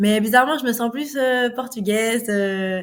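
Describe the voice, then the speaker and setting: An enthusiastic-sounding woman with ordinary pitch variation, on a very clean recording with a silent background. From Portugal (Lisbon), Belgian family. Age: 20s. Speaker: sprinter. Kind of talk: podcast interview. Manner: frequent hesitations.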